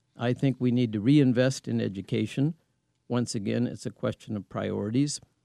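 Heard in a dry, close sound with no echo, a man speaks in a dark, mellow tone. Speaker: congressional candidate. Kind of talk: interview. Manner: halting.

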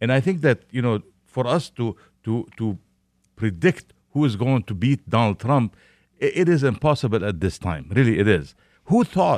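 Talking at a moderate pace, a man of medium pitch swings very widely up and down in pitch. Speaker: newspaper publisher. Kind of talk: radio panel discussion. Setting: studio. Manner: halting, repeats words.

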